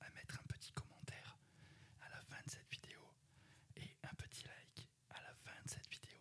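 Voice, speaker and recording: Whispering is all this man does here. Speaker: ASMR YouTuber. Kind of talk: casual vlog chat. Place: home room. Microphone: studio mic.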